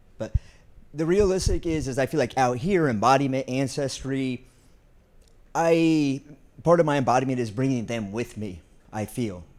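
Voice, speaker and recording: An American-accented man talks with lively intonation at a medium pitch. His pace is moderate, broken by long, frequent pauses. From US Midwest. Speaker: college prison education advocate. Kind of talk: panel discussion.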